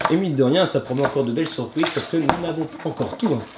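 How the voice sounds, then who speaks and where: Talking at a very fast pace, a man sounds animated, with lively intonation. Noticeable background noise runs underneath. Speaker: unboxing channel host with child. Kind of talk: casual chat with a child during toy unboxing.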